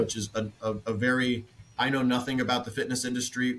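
This man has an ordinary speaking voice, medium in pitch, and talks at a fairly quick pace. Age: 20s. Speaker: fitness equipment company representative. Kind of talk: roundtable discussion.

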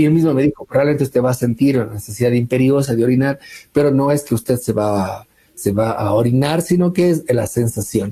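Somewhat breathy and dark, mellow in tone, a man talks at a fairly quick pace and medium pitch, with ordinary pitch variation and very even loudness. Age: 40s. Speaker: academic researcher. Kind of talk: interview testimony.

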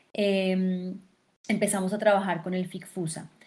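This woman's voice has some breathiness. She talks fairly slowly. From Colombia, Fusagasugá (Cundinamarca). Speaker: actress, theatre director and film festival director. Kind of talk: interview.

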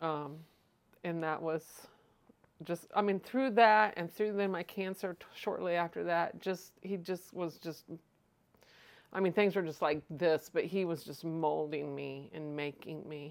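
Speaking at a fairly slow pace with long, frequent pauses, the speaker shows ordinary pitch variation and big swings in loudness on a very clean recording with a silent background. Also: woman, fairly low pitch for a woman. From US Midwest, Litchfield, Illinois. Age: 50s. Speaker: guest sharing faith story. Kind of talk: testimony.

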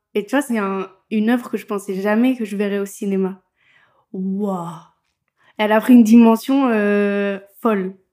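With a dark, mellow tone and medium pitch, a woman speaks with fairly even intonation and long, frequent pauses. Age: 20s. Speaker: podcast host. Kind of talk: casual interview chat. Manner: laughs often.

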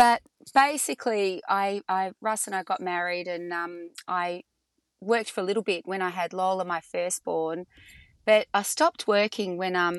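A woman with an Australian accent at a moderate pace, medium in pitch, with fairly even intonation, dry close sound with no echo, and a quiet background. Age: 50s. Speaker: entrepreneur. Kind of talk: casual interview.

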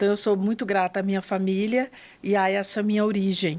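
A woman's voice, medium in pitch, moves along at a moderate pace. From northern Goiás, Brazil, rural. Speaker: psychologist and hospital volunteer. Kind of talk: interview storytelling. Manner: formal.

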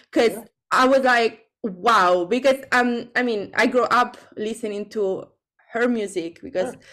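Speaking fairly slowly with an Italian accent, a woman uses a fairly high pitch, a bright, sharp tone and ordinary pitch variation. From Italy. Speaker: singer-songwriter. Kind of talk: interview. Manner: halting.

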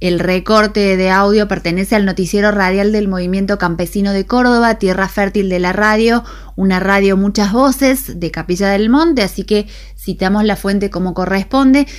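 A woman's normal speaking voice, medium in pitch, at a moderate pace. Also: ordinary pitch variation. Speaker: radio host. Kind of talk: radio news and weather.

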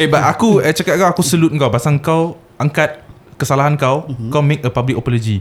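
Here a man speaks at a fairly quick pace in a fairly high pitch. He has an unremarkable speaking voice with ordinary pitch variation. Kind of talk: casual banter podcast chat. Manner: joking, playful.

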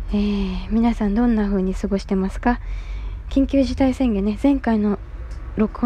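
Noticeable background noise sits behind a woman speaking at a moderate pace in a fairly high voice. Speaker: solo podcaster. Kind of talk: casual monologue.

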